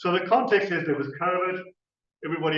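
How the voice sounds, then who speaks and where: Audible room echo surrounds a man's voice. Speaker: university researcher. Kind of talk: conference presentation. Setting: conference stage with audience. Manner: hesitant, with fillers and restarts.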